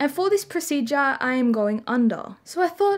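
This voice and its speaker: At a fairly slow pace, a woman speaks. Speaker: vlogger. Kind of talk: casual vlog chat. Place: home room. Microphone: phone near.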